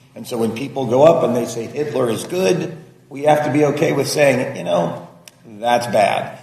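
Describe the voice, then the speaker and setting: Amid noticeable background noise and audible room echo, a man with fairly high pitch and ordinary pitch variation speaks with big swings in loudness. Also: moderate pace. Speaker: lawmaker. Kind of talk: roundtable remarks.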